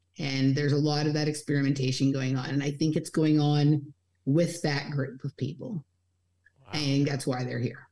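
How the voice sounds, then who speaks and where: At a moderate pace, a woman with an American accent speaks in a very deep, low pitch and a dark, mellow tone, her intonation monotone and flat. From Los Angeles. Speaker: podcaster and researcher. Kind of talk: casual chat.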